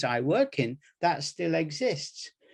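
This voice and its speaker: Speaking with an English Midlands accent, a man has a fairly high pitch. His tone is dark and mellow. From English Midlands, Nottingham. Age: 70s. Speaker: medical education professor. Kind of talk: workshop presentation.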